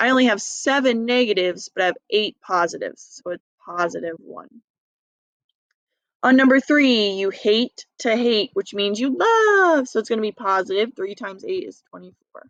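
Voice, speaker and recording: With an ordinary speaking voice, a woman talks at a moderate pace in a fairly high pitch, her intonation lively and her loudness swinging widely, in a dry, close recording with no echo. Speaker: math teacher. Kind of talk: recorded lesson review.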